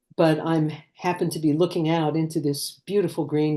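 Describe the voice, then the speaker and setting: A woman with an American accent and a very deep, low pitch speaks at a moderate pace in a dark, mellow tone against a quiet background. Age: 70s. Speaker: cookbook author. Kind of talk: interview.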